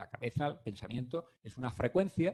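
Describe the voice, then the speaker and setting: This man has a fairly high pitch and a dark, mellow, somewhat breathy tone. He talks at a moderate pace with lively intonation. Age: 60s. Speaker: physician. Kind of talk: lecture. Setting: conference room, streamed online.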